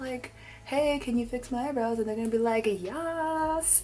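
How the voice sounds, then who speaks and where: Speaking at a moderate pace, a woman with a fairly high pitch is heard over noticeable background noise and audible room echo. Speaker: beauty vlogger. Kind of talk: casual chat. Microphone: possible audio issues.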